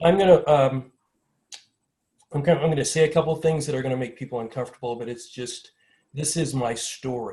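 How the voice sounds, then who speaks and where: A man with an American accent talks at a fairly quick pace, his voice somewhat breathy, fairly high in pitch and dark and mellow in tone, with ordinary pitch variation. His loudness swings widely, and he takes long, frequent pauses. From US Midwest, small-town Ohio. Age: 60s. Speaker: panelist. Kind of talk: personal testimony at a panel. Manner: fast.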